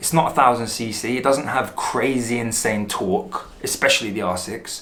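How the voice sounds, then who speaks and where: A man with a London accent speaks at a moderate pace and medium pitch. His pitch variation is ordinary, with noticeable background noise. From London, England. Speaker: motorcycle vlogger. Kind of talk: product review vlog. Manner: casual.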